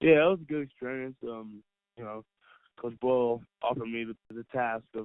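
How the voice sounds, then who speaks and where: At a moderate pace, a man mumbles in a medium pitch. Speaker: college basketball player. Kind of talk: interview. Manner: soft-spoken; mumbling.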